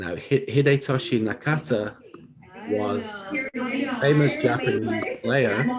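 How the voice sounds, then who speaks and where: A man with a northern English accent speaks at a very slow pace against noticeable background noise. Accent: British, north of England. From northern England, Bolton near Manchester. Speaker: university professor. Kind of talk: lecture.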